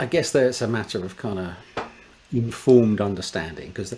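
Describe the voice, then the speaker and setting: A man talks at a fairly quick pace in an ordinary speaking voice with ordinary pitch variation. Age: 60s. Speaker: space engineer. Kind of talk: casual chat.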